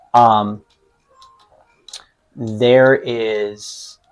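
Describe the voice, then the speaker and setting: Someone speaks in a Pittsburgh accent with music playing in the background. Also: man. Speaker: podcast co-host, hockey coach. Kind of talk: casual chat while playing games.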